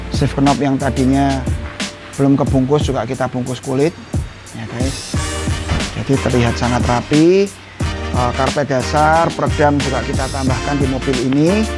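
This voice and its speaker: Clear music sounds behind the speaker. He is a man keeping to a moderate pace. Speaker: presenter. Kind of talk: casual walkthrough commentary. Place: workshop. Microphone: lapel.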